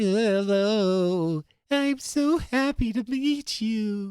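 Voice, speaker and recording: Speaking very slowly in a put-on character voice, a man uses a high pitch and lively intonation, recorded with a dry, close sound and no echo. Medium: read story. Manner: shy, eager.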